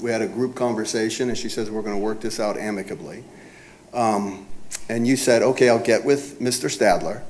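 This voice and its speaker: A soft-spoken man at a medium pitch, fairly quick in pace, with fairly even intonation over noticeable background noise. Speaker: property owner. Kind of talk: cross-examination at a code hearing. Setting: city government hearing room. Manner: speaks softly.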